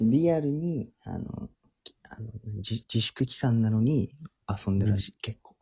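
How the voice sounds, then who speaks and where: A man speaks at a fairly slow pace in a somewhat breathy voice. His medium pitch shows ordinary variation. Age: 20s. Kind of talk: casual chat.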